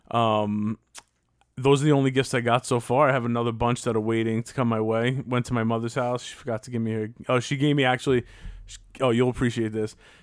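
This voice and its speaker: A man's medium-pitched, monotone, flat delivery at a very fast pace, with big swings in loudness, on a very clean recording with a silent background. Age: 30s. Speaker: podcast co-host. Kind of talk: casual chat.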